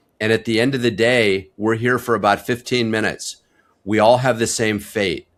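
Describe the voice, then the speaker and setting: Medium-pitched man at a moderate pace with monotone, flat intonation. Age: 60s. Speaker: family physician. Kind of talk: interview. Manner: candid, conversational.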